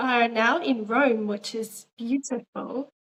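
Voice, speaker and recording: The speaker has an Australian accent. The pace is very slow. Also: woman. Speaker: interviewer. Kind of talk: interview.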